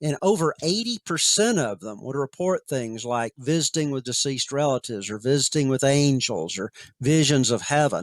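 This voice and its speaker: Hardly pausing, a man with an unremarkable speaking voice and an American accent talks at a moderate pace and fairly high pitch with lively intonation, in a dry, close sound with no echo. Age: 60s. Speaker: author and researcher on near-death experiences. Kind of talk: interview conversation.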